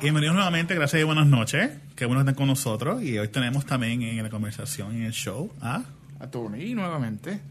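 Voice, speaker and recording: A man's somewhat breathy, fairly high voice moves at a fairly quick pace with lively intonation. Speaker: podcast co-host. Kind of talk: casual chat.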